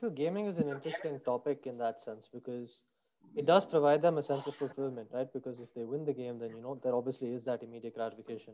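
This man's voice sits at a medium pitch and moves at a very fast pace. Its pitch varies in an ordinary way while the loudness swings widely. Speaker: podcast host. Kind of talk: interview.

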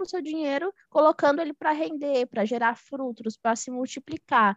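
A woman's raised, projected voice, high-pitched and bright and sharp, at a fairly quick pace with lively intonation and a dry, close sound with no echo. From Minas Gerais, Brazil. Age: 20s. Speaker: economist and investment mentor. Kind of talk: podcast interview.

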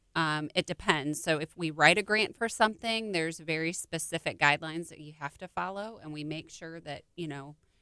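A woman's fairly low voice with an American accent, bright and sharp in tone, at a moderate pace, in a very clean recording with a silent background and a dry, close sound free of echo. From US Midwest, small-town Illinois. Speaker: nonprofit marketing coordinator. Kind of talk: interview. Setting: studio.

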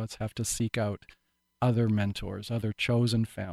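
A man with a Canadian accent has an unremarkable speaking voice at medium pitch and a fairly quick pace, recorded dry and close with no echo on a very clean recording with a silent background. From Vancouver Island, British Columbia, Canada. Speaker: actor. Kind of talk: interview.

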